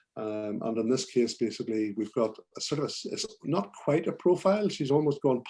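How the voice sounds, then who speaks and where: In a Belfast accent, a man speaks at a fairly quick pace. His dark, mellow voice sits at a medium pitch with ordinary pitch variation. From Northern Ireland, Belfast. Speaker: portrait photographer. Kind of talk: presentation to photography club. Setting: video call. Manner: hesitant, many fillers.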